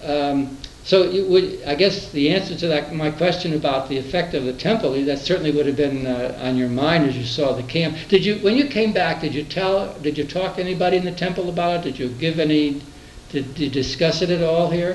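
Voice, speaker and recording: Pitched fairly high, a man speaks at a fairly quick pace in an unremarkable speaking voice with ordinary pitch variation. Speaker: oral history interviewer. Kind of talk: interview questions.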